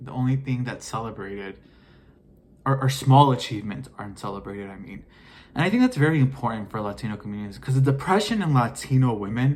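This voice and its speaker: With an American accent, a man speaks very fast in a somewhat breathy voice at a medium pitch. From US, Mexican American. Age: 20s. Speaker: vlogger. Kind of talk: casual monologue vlog. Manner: halting.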